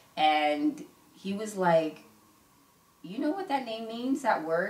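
Audible room echo surrounds a woman who speaks at a fairly slow pace with very wide pitch swings. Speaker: interview guest sharing her life story. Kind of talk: casual interview. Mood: reflective, personal story. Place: home room.

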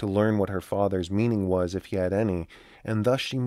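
The reading voice is unforced. Its intonation is fairly level.

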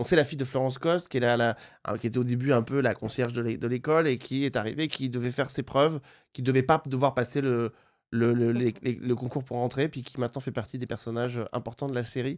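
This is an unremarkable speaking voice at a fairly quick pace. The intonation stays fairly even over a quiet background. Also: man, medium pitch for a man. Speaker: TV show host; TV series show host. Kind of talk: interview. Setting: studio. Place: studio. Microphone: studio mic.

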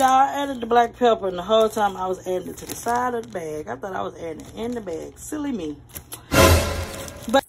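Amid noticeable background noise, a woman talks very fast, her pitch swinging very widely and her loudness rising and falling sharply. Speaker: home cook vlogger. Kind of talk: casual cooking tutorial. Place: kitchen. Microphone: phone near.

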